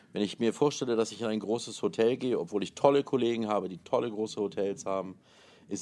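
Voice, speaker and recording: Moderate pace, ordinary pitch variation and a normal speaking voice. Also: man. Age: 40s. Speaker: wedding planner and hotel manager. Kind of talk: interview.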